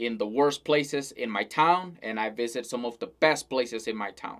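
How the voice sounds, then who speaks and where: On a very clean recording with a silent background, a man with a Spanish accent speaks at a fairly slow pace with ordinary pitch variation. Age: 20s. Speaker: self-help vlogger. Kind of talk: unscripted talking-head monologue. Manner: casual, with some hesitations and repetitions.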